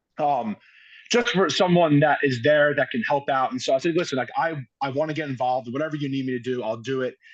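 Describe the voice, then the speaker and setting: A man with a New York accent, a fairly high pitch and ordinary pitch variation at a very fast pace. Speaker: high school football coach. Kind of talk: podcast interview. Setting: outdoors.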